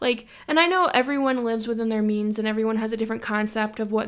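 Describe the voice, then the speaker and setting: Someone with a Western New York accent talks at a very fast pace. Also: woman. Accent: Western New York American. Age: 20s. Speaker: podcast host. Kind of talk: casual monologue.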